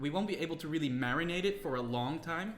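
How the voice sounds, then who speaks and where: A man's voice shows ordinary pitch variation, with audible room echo and music playing behind it. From Netherlands. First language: Dutch. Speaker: streamer. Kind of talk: casual live stream chat and cooking tutorial. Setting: home kitchen.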